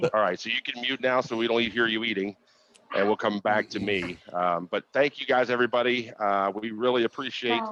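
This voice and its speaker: Loud and bright with a sharp tone, a man speaks at a medium pitch and fairly quick pace with fairly even intonation in a dry, close sound with no echo. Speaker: conference host. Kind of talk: virtual conference announcements.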